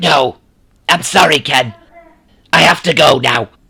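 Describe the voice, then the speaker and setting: Doing a raspy put-on character voice, a man with a medium pitch speaks at a fairly slow pace. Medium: fan dub. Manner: brazen, offhand.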